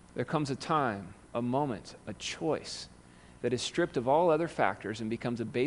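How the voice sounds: What is heard is a natural reading voice.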